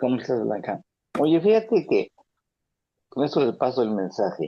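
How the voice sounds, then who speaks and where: This man's voice sits at a medium pitch and carries vocal fry. His pitch swings very widely at a moderate pace. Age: 70s. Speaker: support group member. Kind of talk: support group sharing.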